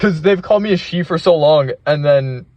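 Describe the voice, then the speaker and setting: A man speaks with ordinary pitch variation and a somewhat breathy quality. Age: 20s. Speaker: gaming vlogger. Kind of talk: casual monologue. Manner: halting.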